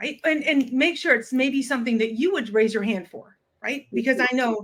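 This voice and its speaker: A woman with an unremarkable speaking voice and an American accent, at a moderate pace with ordinary pitch variation. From US Midwest. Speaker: communications and public speaking coach. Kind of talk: interview.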